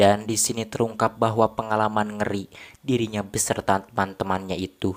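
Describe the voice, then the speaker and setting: In a very clean recording with a silent background, a man with a fairly low pitch speaks at a moderate pace in monotone, flat intonation. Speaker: film recap narrator. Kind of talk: film recap narration.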